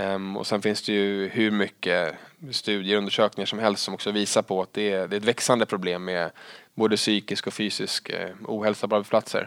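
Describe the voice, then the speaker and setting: Over a silent background in a very clean recording, a man speaks fairly quickly in a fairly low, monotone, flat voice. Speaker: head of sales in recruitment. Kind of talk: interview conversation.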